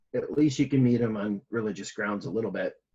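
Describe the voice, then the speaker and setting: With a Michigan accent, a man of medium pitch speaks at a moderate pace with lively intonation. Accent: Midwest Michigan American. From US Midwest, Michigan. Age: 30s. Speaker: missionary pastor. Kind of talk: interview.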